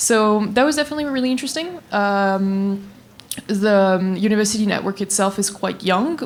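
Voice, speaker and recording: This is a woman speaking with a French accent. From France. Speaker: graduate student. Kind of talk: panel discussion.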